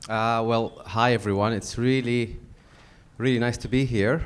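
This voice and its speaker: Fairly even intonation from a man with a Yemeni accent. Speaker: diversity consultancy CEO. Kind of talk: panel discussion.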